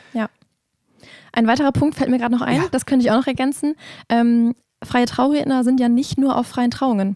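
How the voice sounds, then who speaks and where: Against a quiet background, a woman speaks in a high pitch with a dark, mellow tone and very even loudness, her intonation fairly even. The pace is fairly quick yet broken by long, frequent pauses, and the sound is dry with no echo. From Osnabrück, northwestern Germany; Germany. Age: 20s. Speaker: wedding officiant; guest. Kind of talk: interview. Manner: hesitant, many fillers. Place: studio. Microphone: handheld.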